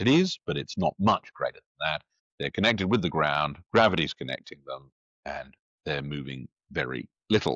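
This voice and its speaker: With vocal fry and very wide pitch swings, a man talks at a moderate pace, the sound dry with no echo and the background quiet. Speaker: commentator. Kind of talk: lecture. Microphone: lapel.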